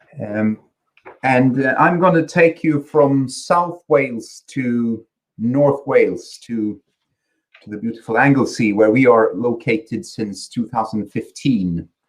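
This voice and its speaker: A man speaks with a slight Swedish accent at a medium pitch and a fairly slow pace. His pitch varies in an ordinary way while his loudness swings widely. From Sweden. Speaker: company chief executive. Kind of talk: conference presentation. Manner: halting, many repetitions and fillers.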